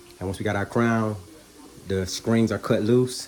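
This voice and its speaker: Over noticeable background noise, a soft-spoken man talks with fairly even intonation. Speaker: spiritual vlogger. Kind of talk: casual spiritual vlog monologue. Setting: at home in the kitchen. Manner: soft-spoken, calm.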